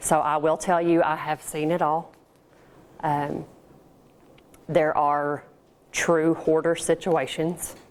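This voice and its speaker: A woman with an American accent speaks very slowly in a very deep, low voice, her flat, monotone delivery broken by long, frequent pauses. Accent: slight country. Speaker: professional organizer, small business owner. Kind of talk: business seminar talk with Q&A. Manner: casual, conversational.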